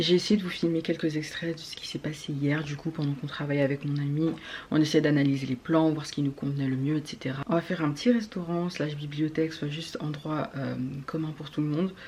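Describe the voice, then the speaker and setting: A woman with a very deep, low voice speaks at a fairly quick pace with fairly even intonation. Noticeable background noise is present. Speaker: architecture student vlogger. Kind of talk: casual vlog talk. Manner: fast.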